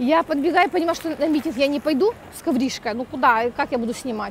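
A woman with a high pitch talks at a fairly quick pace with lively intonation, in a dry sound with no echo over light background noise. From Ukraine. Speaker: vlogger. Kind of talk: vlog. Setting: outdoors, walking in street. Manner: chatty, animated. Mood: animated, humorous. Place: street. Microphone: earbuds.

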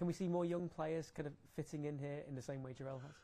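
Talking at a fairly quick pace, a man has a dark, mellow tone and ordinary pitch variation. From England. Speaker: sports journalist. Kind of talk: press conference. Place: hall.

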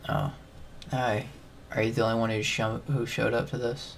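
A man does a raspy, put-on character voice at a medium pitch and a moderate pace. His loudness stays very even, with light background noise behind him. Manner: flat, low-energy.

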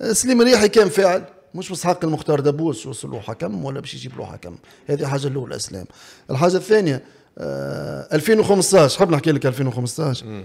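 A man speaks at a fairly quick pace and a fairly high pitch, with vocal fry. His voice swings very widely in pitch and shows big swings in loudness. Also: quiet background. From Tunisia. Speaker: former football referee turned pundit. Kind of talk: interview. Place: studio. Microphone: studio mic.

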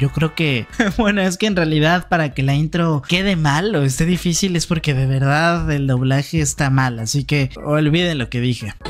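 A man at a moderate pace, with very even loudness, hardly any pauses, ordinary pitch variation, and faint music in the background. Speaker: reaction youtuber. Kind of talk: casual reaction commentary. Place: home room. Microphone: studio mic.

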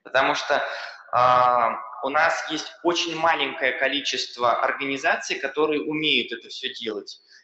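Against a quiet background with audible room echo, a man speaks fairly slowly with fairly even intonation. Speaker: accelerator program expert; panelist, expert council member. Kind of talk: panel talk. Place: hall. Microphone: podium.

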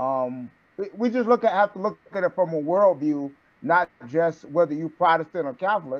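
At a moderate pace, a man speaks in a high pitch. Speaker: student. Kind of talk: class discussion. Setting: video call. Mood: reflective, conversational. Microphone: video call.

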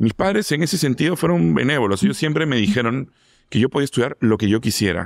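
Against a quiet background, a man talks at a very fast pace. His pitch swings very widely while his loudness stays very even. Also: dry sound with no echo. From Lima, Peru. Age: 40s. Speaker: food critic; interview guest. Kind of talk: interview. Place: studio. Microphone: studio mic.

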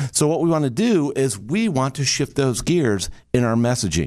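A medium-pitched man with an American accent and very wide pitch swings, against a quiet background. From Michigan, US Midwest. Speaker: communication trainer, business coach. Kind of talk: motivational talk. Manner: animated. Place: studio. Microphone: studio mic.

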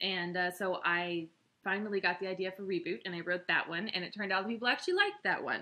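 Speaking very fast, a woman keeps her intonation fairly even. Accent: American. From Texas, Austin. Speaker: novelist. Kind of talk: promotional talk to camera. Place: home room. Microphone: webcam.

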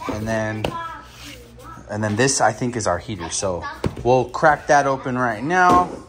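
A man speaks at a fairly slow pace with lively intonation. Noticeable background noise runs behind him. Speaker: hobbyist vlogger. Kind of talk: casual vlog chat. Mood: upbeat, enthusiastic. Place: home room. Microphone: phone near.

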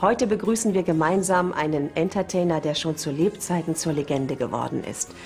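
At a fairly quick pace with hardly any pauses, the speaker shows ordinary pitch variation over faint music in the background. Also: woman, fairly low pitch for a woman. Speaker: TV interviewer and host. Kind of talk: TV show presentation. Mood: warm, smiling. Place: cafe.

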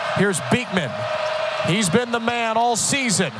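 The recording sounds dry with no echo, though noticeable background noise comes through. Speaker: play-by-play broadcaster. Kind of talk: live sports commentary. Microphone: headset.

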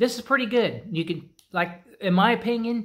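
The speaker is a man. There is ordinary variation in his pitch. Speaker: snack reviewer. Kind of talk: casual review vlog chat. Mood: relaxed, mildly pleased. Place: garage. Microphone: phone near.

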